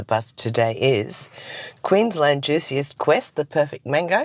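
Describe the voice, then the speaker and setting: A man puts on a raspy character voice, fairly high in pitch, with lively intonation and a fairly slow pace. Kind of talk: radio host delivering news.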